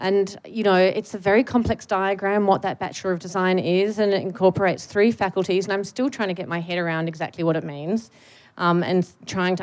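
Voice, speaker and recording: In a plain, everyday voice, a woman speaks at a fairly quick pace with a fairly low pitch and fairly even intonation. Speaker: academic. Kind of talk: public panel conversation. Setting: stage with audience.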